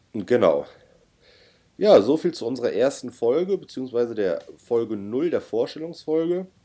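A man with a dark, mellow tone speaks at a moderate pace in a very clean recording with a silent background. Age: 30s. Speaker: podcast co-host and private pilot. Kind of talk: casual chat.

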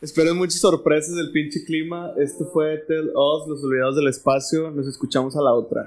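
A man speaks with fairly high pitch and fairly even intonation. Music plays in the background. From Monterrey, Mexico. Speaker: podcast host. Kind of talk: casual chat.

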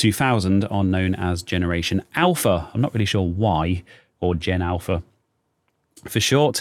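This man has a British accent. His pitch variation is ordinary. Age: 30s. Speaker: YouTuber and podcast host. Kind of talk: solo casual podcast monologue. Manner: halting, many fillers.

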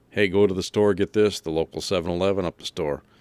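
A man with an American accent talks at a very fast pace in a very deep, low pitch with fairly even intonation. The very clean recording has a silent background and a dry, close sound with no echo. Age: 40s. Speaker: wrestling podcaster. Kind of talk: casual chat.

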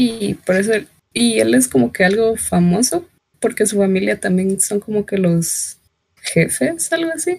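At a fairly slow pace, a woman speaks in a somewhat breathy voice at medium pitch. Her pitch swings very widely while her loudness stays very even. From Guatemala. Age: 20s. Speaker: embroidery hobbyist. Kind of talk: casual chat.

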